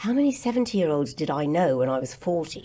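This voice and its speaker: The voice has a dark, mellow tone and an English accent, with very wide pitch swings. It moves at a moderate pace in a very clean recording with a silent background. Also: woman. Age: 70s. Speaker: actress and radio host. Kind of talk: podcast interview. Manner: animated.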